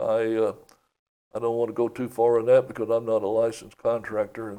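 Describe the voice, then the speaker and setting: A man with an East Tennessee accent talks at a fairly quick pace and medium pitch. His dark, mellow tone stays monotone with flat intonation. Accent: Southern US (East Tennessee). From US South, East Tennessee. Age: 70s. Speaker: county commissioner and property appraiser. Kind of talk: casual interview. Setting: studio.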